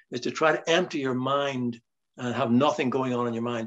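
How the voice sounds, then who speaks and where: This is a man speaking with a Northern Irish accent. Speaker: writer. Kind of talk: interview conversation.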